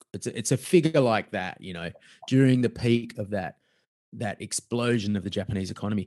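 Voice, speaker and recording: In an Australian accent, a man talks at a fairly quick pace and a fairly low pitch with ordinary pitch variation, the sound dry and close with no echo. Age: middle-aged. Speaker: author and fraud investigator. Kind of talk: casual chat.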